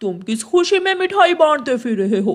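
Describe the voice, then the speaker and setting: A cartoonish character voice with a fairly high pitch. Its pitch swings very widely. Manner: gruff, bullying.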